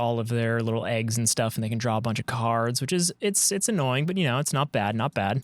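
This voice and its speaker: A man is recorded very cleanly against a silent background, his voice dry and close with no echo. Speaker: gaming streamer. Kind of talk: gameplay commentary. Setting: basement. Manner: stumbling over words.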